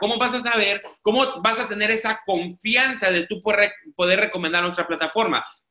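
Speaking in a raised, projected voice, a man uses an animated tone at a moderate pace. His pitch is high, with ordinary pitch variation. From Mexico, Tijuana. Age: 30s. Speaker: network marketing presenter. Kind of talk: sales pitch. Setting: video call. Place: home room. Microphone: video call.

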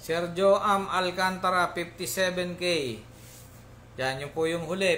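A man's high-pitched voice with light background noise. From Philippines. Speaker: pigeon auctioneer. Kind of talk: live online auction. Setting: live stream. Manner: formal, polite. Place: home room.

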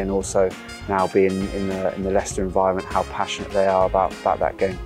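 Over clear music in the background, a man with a very deep, low pitch talks at a very fast pace. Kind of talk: interview answer. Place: stadium. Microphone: lapel.

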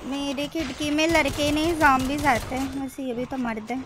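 An excited woman with a high pitch speaks over noticeable background noise, the sound dry with no echo. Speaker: gaming commentator. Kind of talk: casual gameplay commentary.

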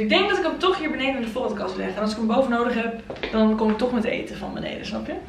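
A woman's fairly high voice with vocal fry, very fast delivery, ordinary pitch variation and audible room echo

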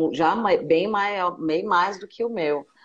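The speaker is a woman with a fairly low pitch. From Brazil, São Paulo (Penha). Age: 40s. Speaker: singer and live interview host. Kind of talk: casual interview chat. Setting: Instagram live stream.

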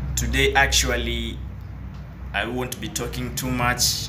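A man talks at a fairly slow pace. Noticeable background noise fills the recording. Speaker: vlogger. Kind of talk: casual vlog chat. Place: station. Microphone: phone near.

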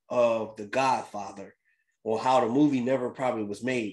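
An animated man's voice over noticeable background noise. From Philadelphia, US. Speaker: crypto YouTuber. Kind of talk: casual vlog commentary. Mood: reflective, upbeat. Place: home room. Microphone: webcam.

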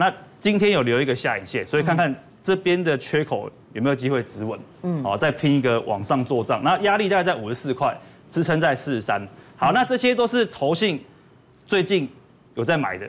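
Speaking at a fairly quick pace with long, frequent pauses, a man uses a fairly high pitch and very wide pitch swings. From Taiwan. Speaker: stock analyst. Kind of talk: market analysis on a talk show. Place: studio. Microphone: lapel.

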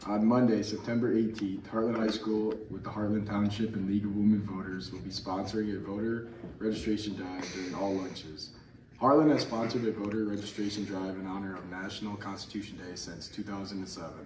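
A man speaks at a fairly quick pace in a fairly low voice. His intonation stays fairly even, and there is noticeable background noise. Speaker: student announcer. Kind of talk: school announcement reading. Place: classroom. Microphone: camera far.

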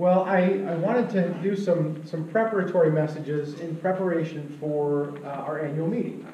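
A man's fairly high pitch, with audible room echo and light background noise. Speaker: pastor. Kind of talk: sermon. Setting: church. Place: church. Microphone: camera far.

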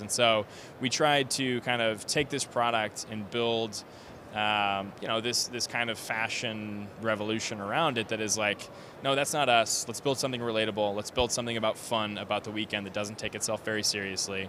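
With an American accent, a man with a fairly low pitch and a bright, sharp tone speaks at a moderate pace with fairly even intonation, in a dry sound with no echo and noticeable background noise. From Bakersfield, California; California. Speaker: clothing brand co-founder; guest. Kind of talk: interview. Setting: live at a trade event. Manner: casual with frequent fillers. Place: hall. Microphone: handheld.

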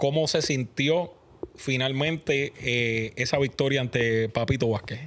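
Light background noise sits under a man's medium-pitched voice. He talks very slowly, with ordinary pitch variation. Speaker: podcast host. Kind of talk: interview. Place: studio. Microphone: studio mic.

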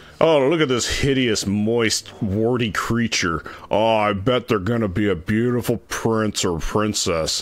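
Using a put-on character voice, a man speaks gruffly at medium pitch and a fairly slow pace. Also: ordinary pitch variation. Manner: mocking.

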